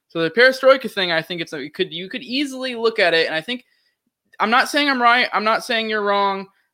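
A man's high, bright, sharp voice, raised and projected, very fast and with lively intonation, in a very clean recording with a silent background. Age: 20s. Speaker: podcast host. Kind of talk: casual chat.

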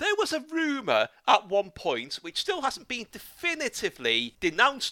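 A man's raised, projected voice with very wide pitch swings at a moderate pace. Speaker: podcast host. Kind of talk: casual interview chat.

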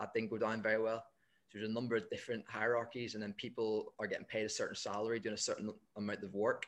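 In a Northern Irish accent, the speaker talks very fast with flat, monotone intonation. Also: man. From Northern Ireland. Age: 20s. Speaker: football coach. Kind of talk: casual interview.

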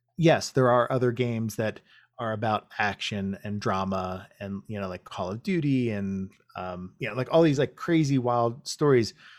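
A man talks at a moderate pace and medium pitch in an ordinary speaking voice with ordinary pitch variation. His loudness swings widely, and the recording is very clean with a silent background. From USA. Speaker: video game director. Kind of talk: casual interview. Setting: livestream on his channel.

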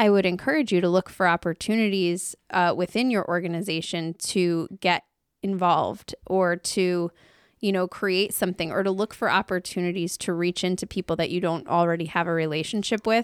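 The speech holds a very even loudness at a moderate pace. The sound is dry and close with no echo, in a very clean recording with a silent background. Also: woman, medium pitch for a woman. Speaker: podcast co-host. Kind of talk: casual chat. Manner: animated.

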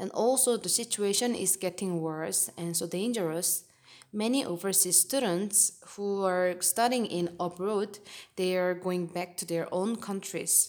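A woman with an ordinary speaking voice talks at a fairly slow pace and a medium pitch with ordinary pitch variation. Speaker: podcast host. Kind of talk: interview.

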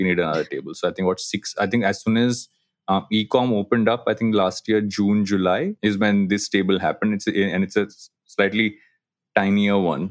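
A man with an Indian accent, fairly low pitch, fairly even intonation and a fairly quick pace. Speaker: podcaster and digital agency co-founder. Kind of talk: casual interview chat. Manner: halting, many fillers.

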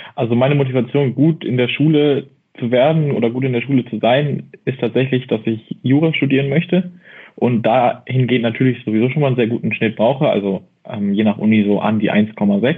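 A man talks at a medium pitch with ordinary pitch variation. It is a normal speaking voice. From Baden-Württemberg, near Mannheim. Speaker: study tips creator. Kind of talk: casual chat.

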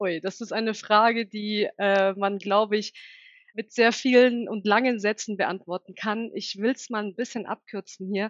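Fairly high in pitch, a woman speaks at a fairly slow pace in a monotone, flat intonation. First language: Turkish (bilingual with German) (speaking German). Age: 30s. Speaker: recruiting and HR manager. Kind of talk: interview.

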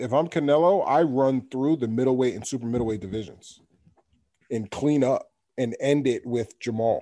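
Speaking at a moderate pace with a New York accent, a man has a dark, mellow tone on a very clean recording with a silent background. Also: medium pitch for a man, ordinary pitch variation. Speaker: podcast host. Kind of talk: casual chat. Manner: animated.

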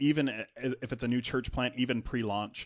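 Against a quiet background, a man uses a normal speaking voice with an American accent. His pitch is medium, with ordinary pitch variation. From northern US. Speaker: executive pastor. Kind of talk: interview.

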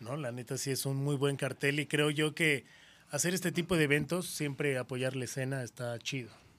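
A man's plain, everyday voice, fairly high in pitch, with fairly even intonation at a moderate pace. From Mexico City. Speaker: radio host. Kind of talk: casual chat.

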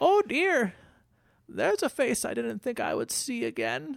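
A put-on character voice drawls along at a moderate pace. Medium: actual play. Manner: folksy, drawling, calls people dearie.

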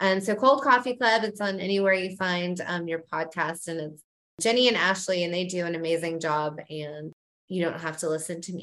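A woman has an unremarkable speaking voice. Her pitch is fairly low, with ordinary pitch variation. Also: moderate pace. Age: 40s. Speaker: parenting website owner. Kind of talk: casual chat. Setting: video call.

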